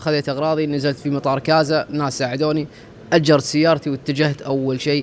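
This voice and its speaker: Noticeable background noise accompanies a man whose voice is fairly high in pitch. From Gulf states. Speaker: content creator. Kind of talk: interview.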